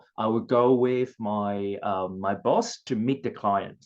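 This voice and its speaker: A man talks with fairly even intonation in a Cantonese accent. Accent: Chinese (Cantonese) accented English. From southern China (Guangzhou). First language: Chinese (Cantonese). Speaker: former international student. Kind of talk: personal story at career workshop. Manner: halting, many fillers.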